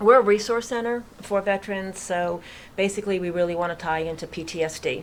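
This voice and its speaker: A woman at a very fast pace, with a slight Boston accent and ordinary pitch variation. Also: medium pitch for a woman. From Massachusetts, near Worcester. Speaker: real estate agent and veterans charity founder. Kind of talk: radio interview. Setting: studio.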